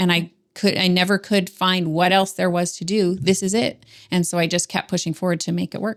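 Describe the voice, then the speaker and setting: In a very clean recording with a silent background, a woman with an ordinary speaking voice and a Canadian accent talks at a fairly quick pace, at medium pitch with fairly even intonation. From Ontario, Canada. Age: 40s. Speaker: business coach. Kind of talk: interview conversation. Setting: podcast recording.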